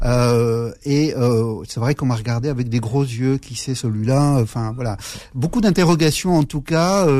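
A dark, mellow tone carries ordinary pitch variation. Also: man, medium pitch for a man. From Algeria (Aurès, Chaoui), raised in France from age 7. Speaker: politician. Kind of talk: radio interview. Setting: studio. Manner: halting, many repetitions and fillers.

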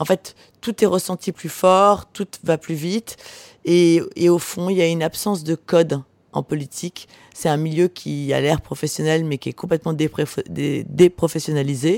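The sound is dry and close with no echo as a woman speaks at a fairly slow pace. Her pitch is fairly low and her intonation fairly even. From Var, southern France (Porquerolles island). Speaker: author. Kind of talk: interview. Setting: hotel bar. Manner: halting.

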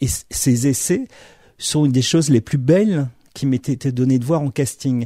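A man speaks fairly slowly in a dark, mellow, somewhat breathy tone with ordinary pitch variation, on a very clean recording with a silent background. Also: medium pitch for a man. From Morocco, Algeria and Madagascar (French military family). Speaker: film director. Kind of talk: interview. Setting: distributor's office. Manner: halting, many repetitions.

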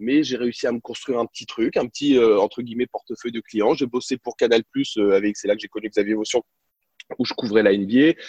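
A man with a plain, everyday voice talks at a fairly quick pace and a medium pitch. His intonation is fairly even, and the sound is dry and close with no echo. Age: 30s. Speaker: sports journalist and TV presenter. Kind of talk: interview, casual storytelling.

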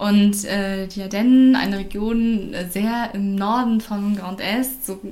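A woman's voice carries a medium pitch. The room adds audible echo. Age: 20s. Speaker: former language exchange facilitator, teacher trainee. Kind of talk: casual interview.

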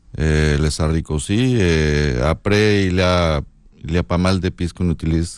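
This man speaks with a northern Mexican accent at a fairly slow pace. His pitch is very deep and low. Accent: Mexican, northern Mexico. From northern Mexico (Sonora). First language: Spanish (speaking French). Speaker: chef. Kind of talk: casual chat.

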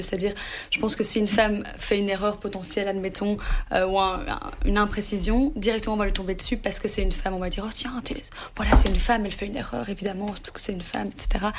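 The pace of this woman's speech is very fast. Her pitch sits at a medium level. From Brussels, Belgium. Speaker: pitchside football reporter. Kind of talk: interview. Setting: studio.

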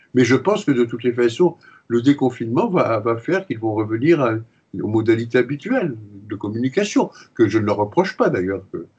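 A man talking at a fairly quick pace, somewhat breathy, with lively intonation and a medium pitch. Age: 80s+. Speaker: retired pediatrician and psychoanalyst. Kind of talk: interview. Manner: hesitant, with frequent repetitions.

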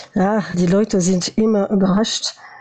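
The speaker is a woman with a medium pitch. Her intonation remains fairly level. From France, born in former Yugoslavia. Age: 40s. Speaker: former youth ambassador. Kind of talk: interview. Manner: halting.

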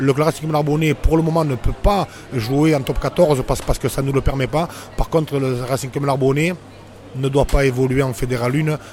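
A man with a fairly high pitch talks at a moderate pace and with fairly even intonation, over noticeable background noise. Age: 40s. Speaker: former rugby player and shop owner. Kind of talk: casual interview. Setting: bar. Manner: halting, many repetitions.

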